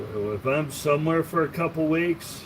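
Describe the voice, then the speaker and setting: Noticeable background noise sits behind a man with a fairly high pitch. He speaks at a fairly slow pace with ordinary pitch variation. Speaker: tool collector livestreamer. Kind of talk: casual livestream chat. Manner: casual, halting with fillers.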